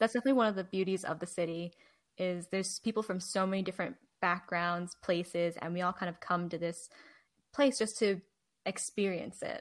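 A plain, everyday voice at a fairly quick pace, with fairly even intonation, on a very clean recording against a silent background. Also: woman, medium pitch for a woman. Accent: American. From New Jersey. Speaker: podcast co-host and Chinese adoptee. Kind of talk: casual interview chat.

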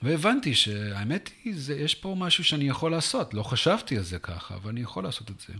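A man speaks at a fairly quick pace with a fairly high pitch and a bright, sharp tone. His voice makes very wide pitch swings and big swings in loudness. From US South, Texas. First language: English (speaking Hebrew). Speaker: venture capital investor. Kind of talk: interview. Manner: halting.

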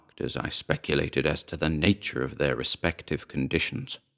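Lively intonation and vocal fry from a man at a moderate pace, dry and close with no echo, on a very clean recording with a silent background. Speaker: story narrator. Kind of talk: dramatic first-person horror narration, building from wry tone to lurid, frantic dread.

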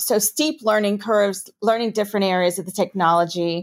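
A woman speaks in a New York accent. The recording is very clean, with a silent background. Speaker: corporate compliance executive. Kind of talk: interview.

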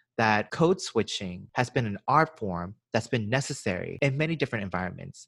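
A man with an unremarkable speaking voice at a medium pitch speaks with lively intonation, recorded very cleanly against a silent background with a dry, close sound and no echo. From US South, Georgia. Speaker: podcast co-host. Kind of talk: casual podcast discussion. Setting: home recording during quarantine.

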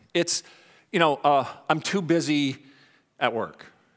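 Someone with a Canadian accent speaks at a fairly slow pace in a very clean recording with a silent background. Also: man. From Canada. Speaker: pastor. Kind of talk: sermon. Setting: church.

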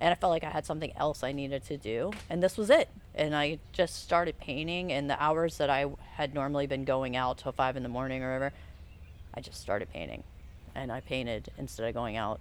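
Using a very deep, low pitch with vocal fry, a woman with an American accent talks at a fairly quick pace with ordinary pitch variation. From US South, Charleston, South Carolina. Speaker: muralist. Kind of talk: casual interview. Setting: outdoors at mural site. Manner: halting.

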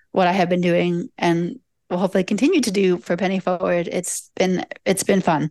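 A woman with a normal speaking voice and an American accent speaks at medium pitch and a moderate pace, her intonation fairly even, the sound dry and close with no echo over a quiet background. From US Mid-Atlantic, Delaware. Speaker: nonprofit board member. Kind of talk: interactive presentation. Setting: video call.

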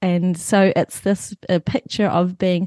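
With a New Zealand accent, the speaker goes at a fairly slow pace in a dry, close sound with no echo and a quiet background. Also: woman. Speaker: author and church leader. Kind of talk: casual chat.

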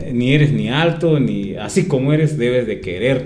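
A man's voice comes with audible room echo. Noticeable background noise runs behind him. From Mexico, San Pablo Autopan, Toluca, State of Mexico. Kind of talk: interview. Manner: halting, many fillers.

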